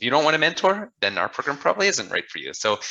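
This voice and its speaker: A man speaks at a very fast pace in a bright, sharp tone with ordinary pitch variation. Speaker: business development advisor. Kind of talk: webinar presentation.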